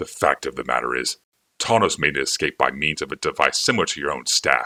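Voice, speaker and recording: A man growls quietly in a put-on character voice with a very deep, low pitch. His pace is fairly quick, and the sound is dry and close with no echo. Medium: read story. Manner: quiet, smooth.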